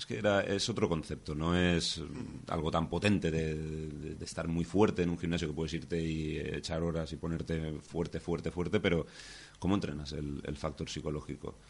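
With fairly even intonation and a very deep, low pitch, a man talks at a moderate pace against a quiet background. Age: young. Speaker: climber. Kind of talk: interview.

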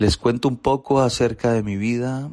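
The intonation in this man's speech is fairly even. Nothing can be heard in the quiet background. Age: 40s. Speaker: recovering alcoholic. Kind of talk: testimony.

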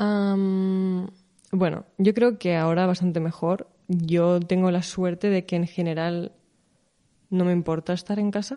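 A woman at medium pitch and a fairly slow pace, with a dark, mellow tone and monotone, flat intonation. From Spain, Barcelona area. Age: 20s. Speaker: content creator and entrepreneur. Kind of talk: casual chat.

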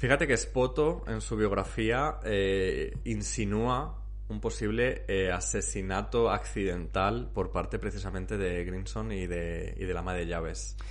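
A fairly slow pace with hardly any pauses, in a Castilian accent. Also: man. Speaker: podcast host. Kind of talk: casual chat.

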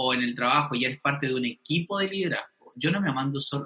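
A plain, everyday voice from a man, fairly high in pitch and fairly quick in pace. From Chile. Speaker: pastor. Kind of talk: casual interview.

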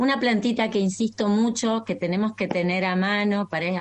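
Moderately paced, ordinary pitch variation, in an unremarkable speaking voice. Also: woman. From Argentina, Entre Ríos. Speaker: naturopathic doctor. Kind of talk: interview. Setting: video call.

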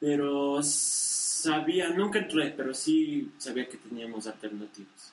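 A man's fairly high voice at a very slow pace, with lively intonation, hardly any pauses and big swings in loudness, over noticeable background noise. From Ecuador, Guaranda area. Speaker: podcast host. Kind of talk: casual chat. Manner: nervous, halting.

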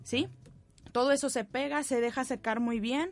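This woman has a high pitch, ordinary pitch variation and a moderate pace. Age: 20s. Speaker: parish volunteer. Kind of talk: tutorial. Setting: studio.

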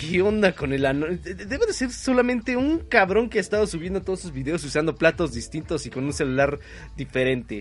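A man with a Mexican accent, at a moderate pace, with very wide pitch swings. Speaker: internet radio host. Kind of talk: casual late-night radio show with music. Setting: home broadcast over internet.

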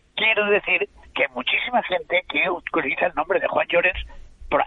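At a moderate pace, a man speaks with noticeable background noise. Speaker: writer and literary critic. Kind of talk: panel discussion.

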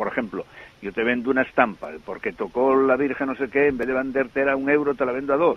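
A man speaks at a medium pitch. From Asturias, Spain. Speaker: parish priest. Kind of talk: interview. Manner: halting, repeats words.

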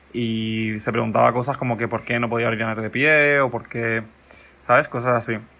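Speaking at a fairly quick pace, a man holds a monotone, flat intonation. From Mallorca, Spain. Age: 20s. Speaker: film student and screenwriter. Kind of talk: recorded voice message. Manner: halting.

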